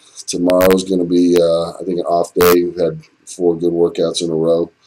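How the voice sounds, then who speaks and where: Against a quiet background, a man speaks at a moderate pace with a very deep, low pitch. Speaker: bodybuilder training vlogger. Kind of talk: casual vlog chat. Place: home room. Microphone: webcam.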